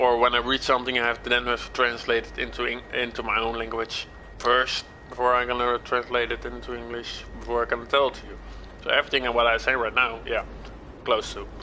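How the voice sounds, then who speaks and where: A Dutch accent at a fairly quick pace, with noticeable background noise. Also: man. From Netherlands. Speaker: gaming livestreamer. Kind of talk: live gameplay stream chat. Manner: halting, repeats words.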